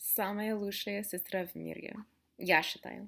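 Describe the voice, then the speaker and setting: A woman with an American accent, fairly high pitch and fairly slow pace, in a very clean recording with a silent background. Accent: American accent in Russian. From USA. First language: English (speaking Russian). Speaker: vlogger. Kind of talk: casual chat. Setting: sitting on the floor at home. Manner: animated.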